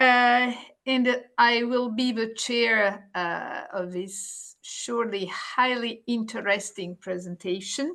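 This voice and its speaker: Against a quiet background, a woman with an Italian accent speaks at a very slow pace in a fairly high pitch. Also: ordinary pitch variation. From Italy. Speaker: nephrologist, webinar moderator. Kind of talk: webinar introduction. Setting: online webinar.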